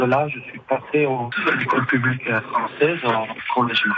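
Noticeable background noise sits under a man speaking at medium pitch. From French Basque Country, Bayonne. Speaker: expatriate interviewee. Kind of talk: radio interview. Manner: halting.

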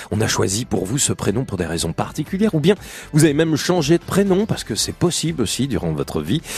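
This man speaks at a fairly high pitch and a fairly quick pace. His pitch swings very widely. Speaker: radio host. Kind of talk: call-in radio show. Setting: studio. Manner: warm, chatty.

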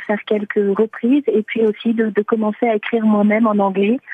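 Her voice is fairly high for a woman. She talks at a fairly slow pace. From France. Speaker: singer-songwriter. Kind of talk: radio interview. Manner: halting.

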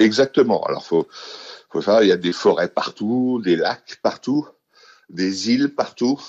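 A man of medium pitch at a fairly slow pace, with ordinary pitch variation, long and frequent pauses, and a dry, close sound with no echo. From Paris, France. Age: 50s. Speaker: expatriate interviewee. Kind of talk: interview. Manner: halting, many fillers.

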